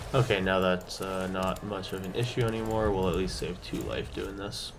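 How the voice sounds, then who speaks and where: At a moderate pace and with fairly even intonation, a man speaks amid noticeable background noise and audible room echo. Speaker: gaming content creator. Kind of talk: gameplay commentary. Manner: casual, with fillers.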